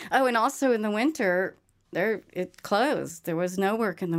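A woman's plain, everyday voice at a moderate pace, with ordinary pitch variation, on a very clean recording over a silent background. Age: 60s. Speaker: musician. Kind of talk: interview.

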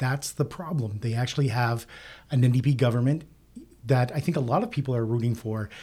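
At a fairly quick pace, a man speaks in a medium pitch with a dark, mellow tone, somewhat breathy and with fairly even intonation, on a very clean recording with a silent background. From Nova Scotia. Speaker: political pundit. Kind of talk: panel discussion.

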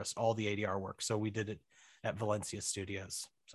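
With an American accent and an unremarkable speaking voice, a man speaks at a fairly low pitch against a quiet background. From Missouri. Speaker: writer and director. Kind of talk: casual chat. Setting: home office in basement.

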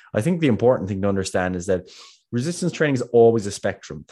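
In a quiet background, a man speaks with a Kerry accent. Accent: Kerry Irish. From Ireland, Kerry. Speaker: podcast co-host, fitness coach. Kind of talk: casual podcast discussion. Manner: fast talker.

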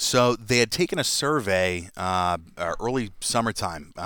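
With a Boston accent, a man speaks in a bright, sharp tone with ordinary pitch variation on a very clean recording with a silent background. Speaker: podcast guest; parent.

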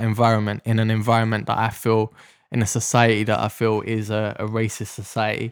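In a South London accent, a man talks at a medium pitch and a fairly quick pace. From South London, Deptford. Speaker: ex-police officer. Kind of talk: interview testimony.

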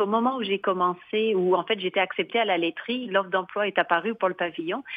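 A woman speaks in a normal speaking voice. Her pitch is medium, with ordinary pitch variation. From France, Limoges. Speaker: arts venue director. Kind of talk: radio interview. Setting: phone call.

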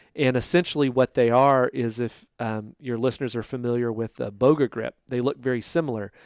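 In a Texan accent, a man speaks at a moderate pace and medium pitch with fairly even intonation, the sound dry and close with no echo. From Texas (Boerne, near San Antonio). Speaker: fisheries scientist. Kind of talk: interview. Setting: research institute office.

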